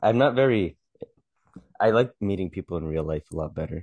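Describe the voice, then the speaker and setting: A man talks at a moderate pace in a fairly low voice. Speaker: podcast co-host, amateur comedian. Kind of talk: casual chat. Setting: home recording, video.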